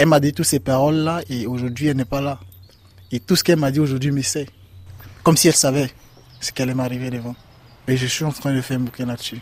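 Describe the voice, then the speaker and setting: Speaking at a very fast pace with long, frequent pauses, a man keeps a medium pitch and fairly even intonation. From Ivory Coast. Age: 20s. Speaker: migrant. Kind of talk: testimony. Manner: halting.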